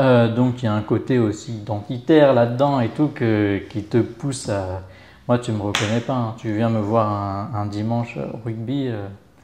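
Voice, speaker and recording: At a fairly slow pace, a man speaks in a dark, mellow tone at medium pitch, keeping his intonation fairly even. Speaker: rugby club volunteer and web business owner. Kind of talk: interview.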